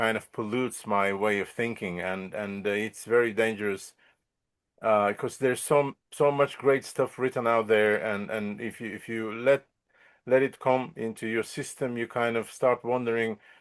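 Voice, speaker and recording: A man talks with a Bulgarian accent. The background is quiet. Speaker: musician and composer. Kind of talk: interview. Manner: halting, many repetitions.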